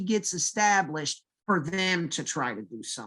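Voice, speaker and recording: A man is talking. His pitch moves in an ordinary way. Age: 40s. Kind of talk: casual chat.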